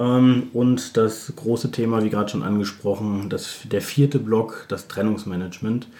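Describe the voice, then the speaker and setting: An unremarkable speaking voice, this man talks at a moderate pace and medium pitch with fairly even intonation and hardly any pauses. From Germany, Bielefeld. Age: 40s. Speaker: recruitment consultant. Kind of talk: interview.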